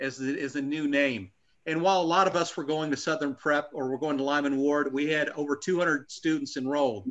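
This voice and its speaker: This man has an ordinary speaking voice with a fairly high pitch. His intonation stays fairly even. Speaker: army veteran. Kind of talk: casual chat. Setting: video call. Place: home room. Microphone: video call.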